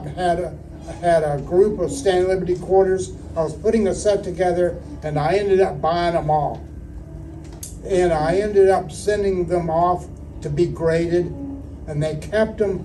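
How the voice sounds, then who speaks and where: A man with an American accent speaks at a moderate pace in a high voice. His intonation is fairly even, and there is noticeable background noise. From Houston, Texas, USA. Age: 70s. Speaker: coin auctioneer and coin collector. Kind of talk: interview answer, casual storytelling.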